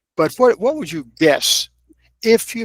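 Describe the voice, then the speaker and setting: A man with an American accent at a moderate pace, in a dry, close sound with no echo, on a very clean recording with a silent background. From US South, Kentucky (Lexington). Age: 80s+. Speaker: author and filmmaker. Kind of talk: interview.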